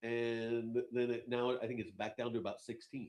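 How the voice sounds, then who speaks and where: Fairly quick speech from a man, pitched in the middle range. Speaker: crypto show host. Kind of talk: casual chat. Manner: loud.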